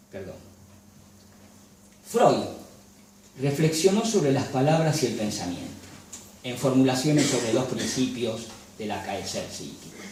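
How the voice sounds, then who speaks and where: Amid noticeable background noise and audible room echo, a man with a medium pitch speaks with lively intonation, big swings in loudness and long, frequent pauses. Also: fairly slow pace. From Galicia, Spain. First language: Galician (speaking Spanish). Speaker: lecturer and photographer. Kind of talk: lecture. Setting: cultural association venue with audience. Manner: formal.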